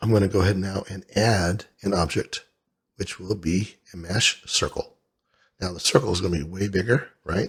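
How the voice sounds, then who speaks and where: A man speaks at a moderate pace in a very deep, low pitch. His voice is somewhat breathy. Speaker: 3D modeling tutorial instructor. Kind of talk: software tutorial screen-recording narration. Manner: casual, conversational.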